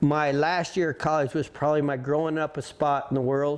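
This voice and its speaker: With a rural western US accent, a man speaks fairly slowly in a flat monotone at a fairly high pitch. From Colorado. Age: 60s. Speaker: rodeo roper. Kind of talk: interview. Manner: halting.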